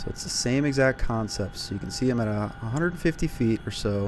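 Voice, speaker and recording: A man speaks at a fairly low pitch. Music plays behind him. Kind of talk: tutorial with live gameplay commentary. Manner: monotone; hesitant, many fillers.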